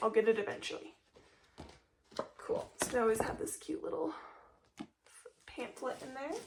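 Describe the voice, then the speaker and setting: A woman's voice with very wide pitch swings and long, frequent pauses, over noticeable background noise. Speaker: candle reviewer YouTuber. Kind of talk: unboxing haul video. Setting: home office room. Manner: casual, filler-heavy.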